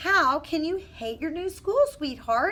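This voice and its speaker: A woman's squeaky, put-on character voice, extremely high and raised to project, with very wide pitch swings, a fairly slow pace and light background noise. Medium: read story.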